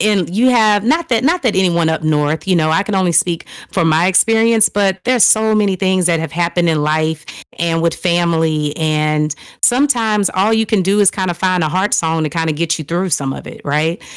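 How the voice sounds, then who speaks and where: With a Southern US accent, a woman speaks at a fairly low pitch. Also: ordinary pitch variation, fairly quick pace. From US South, New Orleans and Texas. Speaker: singer. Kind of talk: interview. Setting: live stream.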